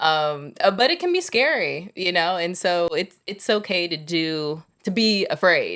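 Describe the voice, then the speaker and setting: A plain, everyday voice from a woman at medium pitch, with ordinary pitch variation, a fairly slow pace and hardly any pauses. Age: 30s. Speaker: podcast co-host. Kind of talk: casual chat.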